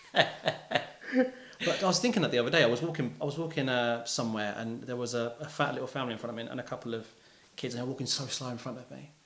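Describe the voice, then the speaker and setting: A man's medium-pitched voice with a London accent at a very fast pace, with ordinary pitch variation, big swings in loudness, audible room echo and noticeable background noise. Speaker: musician. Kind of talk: casual interview chat. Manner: animated.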